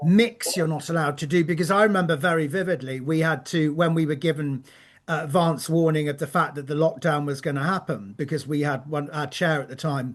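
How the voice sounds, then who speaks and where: This man has a plain, everyday voice, fairly high in pitch, talking at a moderate pace over a quiet background. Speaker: podcast host, charity chief executive. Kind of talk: podcast conversation.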